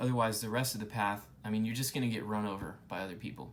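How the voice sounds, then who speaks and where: Audible room echo surrounds a man speaking at a very fast pace. His pitch is medium and his intonation fairly even. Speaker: YouTuber explaining Buddhism. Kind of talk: informal lecture to camera. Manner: casual, with fillers and restarts.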